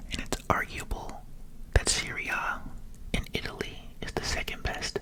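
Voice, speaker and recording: Someone whispers over noticeable background noise. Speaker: ASMR creator. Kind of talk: ASMR sports commentary. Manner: whispered.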